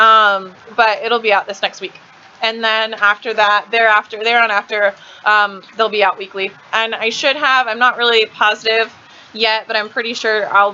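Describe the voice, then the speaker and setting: Over noticeable background noise, a woman with an American accent speaks in a monotone, flat intonation. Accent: slight southern accent, thick when drinking. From Kansas. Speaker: live streamer. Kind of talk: live stream chat. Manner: fast; casual, chatty.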